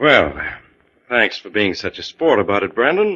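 A man in a put-on character voice speaks at a moderate pace, his fairly low pitch making big swings, with a slightly husky edge and a fairly bright tone.

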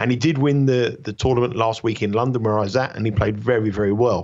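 This man talks very fast, his medium pitch showing ordinary variation. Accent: British. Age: 50s. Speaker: tennis handicapper. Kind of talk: radio sports betting interview.

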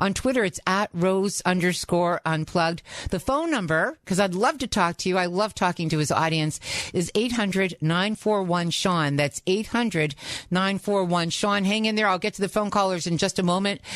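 Woman at a moderate pace, with very even loudness and ordinary pitch variation. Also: medium pitch for a woman. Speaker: radio host. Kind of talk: talk radio. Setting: studio.

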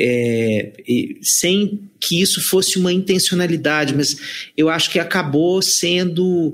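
Speaking at a very slow pace, a man with a high pitch keeps his loudness very even and his pitch variation ordinary. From Brazilian sertão. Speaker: psychologist and author.

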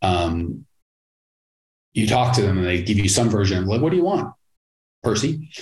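A man with a somewhat breathy, fairly low voice, lively intonation and very even loudness at a moderate pace. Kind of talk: pitchman rant. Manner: brash, punchy, sarcastic hard-sell.

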